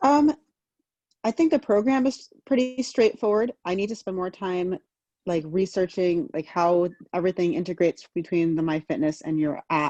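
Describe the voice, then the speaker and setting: Dry and close with no echo, a woman with an American accent speaks at a moderate pace in a dark, mellow tone. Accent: American, remarked on. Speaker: fitness client. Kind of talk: casual chat.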